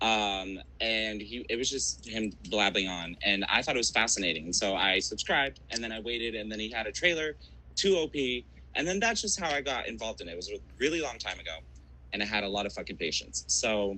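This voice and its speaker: Talking at a fairly quick pace, a man uses lively intonation with vocal fry. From Brazil. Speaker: podcast guest. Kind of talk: casual chat.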